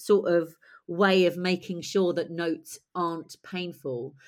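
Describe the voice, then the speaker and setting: This woman has a British accent and talks at a fairly slow pace. The recording is very clean, with a silent background. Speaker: playwright and director. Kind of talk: interview conversation.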